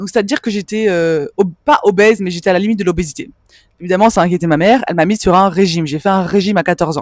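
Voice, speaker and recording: A woman's medium-pitched voice at a very fast pace, with ordinary pitch variation and a dry, close sound with no echo. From Belgium (Hainaut, village near Brussels). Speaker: spiritual mentor for women. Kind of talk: personal testimony vlog. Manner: casual, conversational with fillers.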